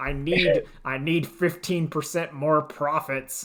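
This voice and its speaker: Using a put-on character voice, a man talks fairly slowly at a fairly high pitch on a very clean recording with a silent background. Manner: demanding, creepy.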